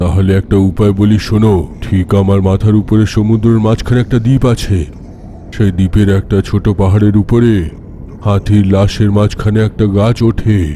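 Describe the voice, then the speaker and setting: A man puts on a cartoonish character voice, fairly low in pitch and solemn in tone, at a moderate pace. His loudness stays very even over clear background noise. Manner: solemn, measured.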